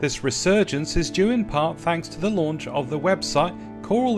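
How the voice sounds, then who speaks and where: Music plays in the background as a man talks at a moderate pace with very wide pitch swings. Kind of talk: news report narration.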